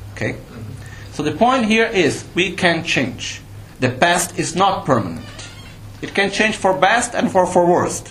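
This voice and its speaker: A man speaks with high pitch and lively intonation. Noticeable background noise can be heard. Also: fairly slow pace. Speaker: Buddhist teacher. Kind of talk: dharma teaching talk. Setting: live retreat with audience. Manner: explanatory, didactic.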